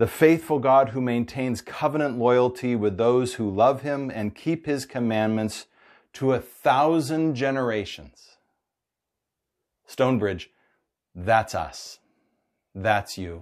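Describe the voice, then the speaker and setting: A man at a very slow pace, with long, frequent pauses, ordinary pitch variation and a quiet background. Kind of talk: sermon. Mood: warm, upbeat, earnest. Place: home room. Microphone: lapel.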